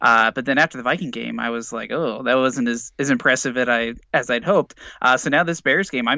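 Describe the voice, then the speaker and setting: With an American accent, a man talks at a fairly quick pace in a plain, everyday voice of medium pitch and ordinary pitch variation. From Indiana, US Midwest. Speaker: sports podcaster. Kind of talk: casual chat.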